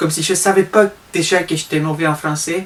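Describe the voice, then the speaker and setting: A man with a high voice speaks in a Spanish accent at a moderate pace, his intonation fairly even. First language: Spanish (speaking French). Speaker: vlogger. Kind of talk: comedic vlog monologue.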